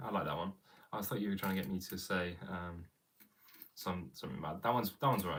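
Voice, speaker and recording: Speaking at a very fast pace, a man with an English accent uses a very deep, low pitch and vocal fry. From England. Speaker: drummer streamer. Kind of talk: casual live stream Q&A. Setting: live stream at home. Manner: casual, hesitant with fillers.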